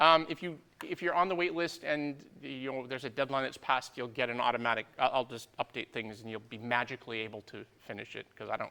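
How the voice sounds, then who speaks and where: A man speaks at a very fast pace with hardly any pauses, his pitch medium and its variation ordinary. His loudness swings widely. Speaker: university lecturer. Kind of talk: lecture. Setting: lecture hall, streamed live. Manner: casual, digressive.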